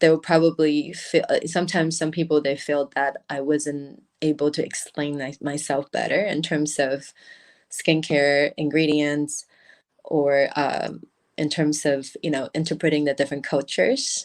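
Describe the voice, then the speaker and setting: At a moderate pace, a woman with a very deep, low pitch talks in a flat monotone. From Taiwan. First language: Mandarin. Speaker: beauty brand founder. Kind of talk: interview. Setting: livestream. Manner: halting.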